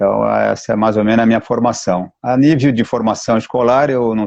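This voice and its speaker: Dry and close with no echo, this recording has a man in a plain, everyday voice. He talks at a moderate pace and medium pitch, with fairly even intonation. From Mato Grosso do Sul, Brazil (Campo Grande). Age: 60s. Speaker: capoeira master. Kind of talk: live stream interview.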